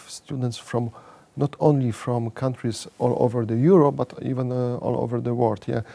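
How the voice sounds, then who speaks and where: Noticeable background noise runs behind a man with a Polish accent. His pitch variation is ordinary. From Poland. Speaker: economics professor. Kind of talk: interview. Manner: halting, many fillers and repeats.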